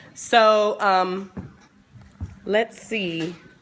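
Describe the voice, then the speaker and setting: A woman speaks with music in the background. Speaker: sex educator livestream host. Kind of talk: casual livestream chat. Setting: home studio livestream.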